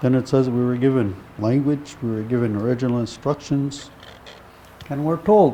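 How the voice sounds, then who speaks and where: A man's medium-pitched voice at a moderate pace, ordinary pitch variation, and noticeable background noise. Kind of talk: teaching talk.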